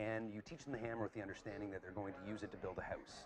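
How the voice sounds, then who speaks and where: Over noticeable background noise, a man with a Canadian accent speaks at a fairly low pitch. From Canada (Calgary, Alberta). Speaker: graduate student, former fight coach. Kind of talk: casual chat. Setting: pub. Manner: halting, many repeated words.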